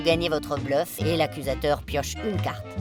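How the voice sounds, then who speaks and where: Over music in the background, a woman with a very deep, low pitch speaks in a playful tone at a moderate pace. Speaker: voice-over artist. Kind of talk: quirky game-rules voice-over. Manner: playful, humorous.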